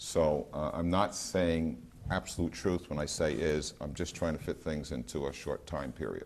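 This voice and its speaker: A man's very deep, low voice with vocal fry, fairly even intonation, and a moderate pace. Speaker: researcher. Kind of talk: lecture. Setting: gallery with audience. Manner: hesitant, many fillers.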